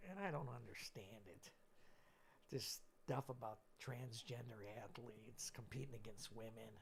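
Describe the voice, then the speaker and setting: Somewhat breathy, a man of medium pitch talks at a moderate pace with ordinary pitch variation. Long, frequent pauses run through his speech. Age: 60s. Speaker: retired coach and gym teacher. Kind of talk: casual interview chat.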